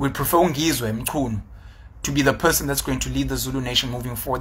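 A man speaks with a South African accent. His pitch varies in an ordinary way. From South Africa, KwaZulu-Natal. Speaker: YouTube commentator. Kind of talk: solo vlog commentary. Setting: on location at a conference. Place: home room. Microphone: phone near.

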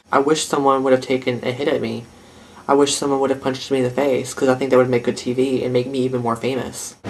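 The speech comes at a very fast pace in a monotone, flat intonation. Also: man. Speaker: vlogger host. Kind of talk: comedic confessional aside. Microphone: phone near.

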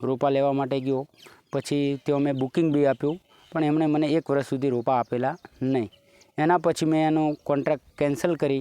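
A man's fairly high voice carries a dark, mellow tone, delivered in a monotone with flat intonation. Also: dry, close sound with no echo. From Gujarat, Banaskantha district (north Gujarat). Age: 40s. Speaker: farmer. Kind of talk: interview.

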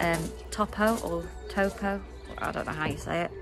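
A woman talks at a fairly slow pace while faint music plays in the background. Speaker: vlogger. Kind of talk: casual vlog chat. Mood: relaxed, playful. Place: garden. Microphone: phone near.

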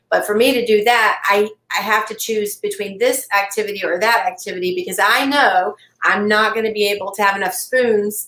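A woman with an American accent, fairly quick pace and fairly even intonation, with audible room echo. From US South. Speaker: cancer patient. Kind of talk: interview conversation. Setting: video call. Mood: earnest, reflective. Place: home room.

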